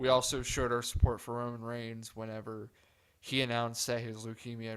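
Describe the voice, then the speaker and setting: A man speaks at a medium pitch and a moderate pace. His intonation is monotone and flat. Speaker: podcast host. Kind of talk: solo podcast monologue. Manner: subdued, softer than usual.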